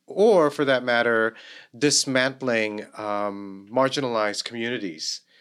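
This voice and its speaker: A plain, everyday voice from a man with a medium pitch and ordinary pitch variation, at a fairly slow pace. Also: very clean recording, silent background. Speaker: theater professor. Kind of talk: casual chat, interview.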